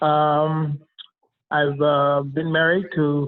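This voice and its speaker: With an American accent, a man talks at a fairly high pitch. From Nebraska, Omaha. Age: 70s. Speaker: political candidate. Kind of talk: candidate interview. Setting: phone call. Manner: halting with many fillers.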